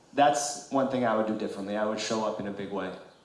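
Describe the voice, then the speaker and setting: A man's fairly low voice with an American accent and ordinary pitch variation, plus audible room echo and noticeable background noise. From New York City, Queens. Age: 40s. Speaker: congressional candidate. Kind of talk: political candidate forum speech. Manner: impassioned.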